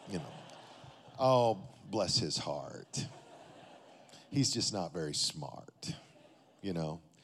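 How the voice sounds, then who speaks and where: A man with a West Texas accent speaks at a very slow pace with long, frequent pauses. His fairly low voice makes very wide pitch swings. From Texas, Amarillo. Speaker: pastor. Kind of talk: sermon.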